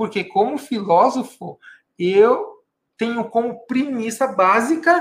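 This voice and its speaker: A man speaks at an extremely high pitch with very wide pitch swings, very slowly, leaving long, frequent pauses. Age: 50s. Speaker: mentor and philosopher, video host. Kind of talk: casual monologue to camera. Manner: conversational, informal.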